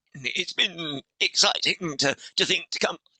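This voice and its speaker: The sound is dry and close with no echo as a man speaks with a British accent. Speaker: organisational development consultant and author. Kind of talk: podcast interview.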